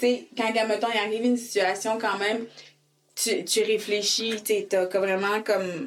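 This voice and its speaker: Delivered at a fairly slow pace, the speech keeps a very even loudness and a flat, monotone intonation. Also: woman. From Quebec (raised from age 5, born in Haiti). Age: 20s. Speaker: licensed practical nurse and organization co-founder. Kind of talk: interview testimony.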